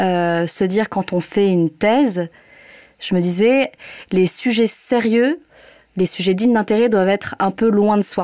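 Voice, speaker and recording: Her tone dark and mellow, a woman speaks at a medium pitch with ordinary pitch variation. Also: very clean recording, silent background. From northern France (Hauts-de-France). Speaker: journalist. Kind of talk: interview. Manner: hesitant, many fillers.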